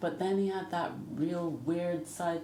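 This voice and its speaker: With audible room echo and noticeable background noise, a woman speaks fairly slowly in a flat monotone at a fairly low pitch. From Jamaica. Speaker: singer. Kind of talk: interview.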